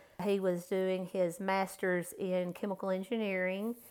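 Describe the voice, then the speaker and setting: Talking at a moderate pace, this woman has an ordinary speaking voice pitched at a medium level. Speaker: guest, mother, flower expert. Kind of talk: casual interview chat.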